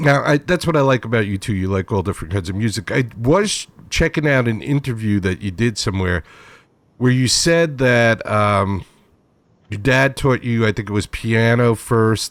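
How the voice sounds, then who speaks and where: With an unremarkable speaking voice, a man talks at a moderate pace and medium pitch with lively intonation. The recording is very clean, with a silent background. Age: 60s. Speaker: internet radio show host. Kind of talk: casual interview chat. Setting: home bedroom studio.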